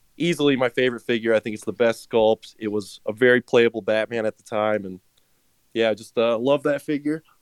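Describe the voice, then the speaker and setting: A man speaks at a moderate pace in a medium pitch with ordinary pitch variation and an unremarkable speaking voice, the sound dry and close with no echo. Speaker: listener guest. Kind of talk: casual interview chat.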